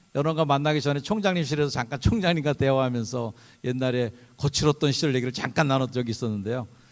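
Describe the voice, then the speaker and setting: Very clean audio with a silent background. A man talks very fast at medium pitch. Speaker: pastor. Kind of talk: sermon. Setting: chapel service with audience.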